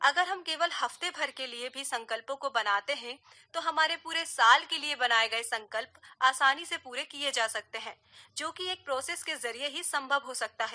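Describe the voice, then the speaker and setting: In a raised, projected voice, a woman speaks at a high pitch with a bright, sharp tone, ordinary pitch variation, and big swings in loudness. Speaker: voice over artist, radio presenter. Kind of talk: radio talk show segment.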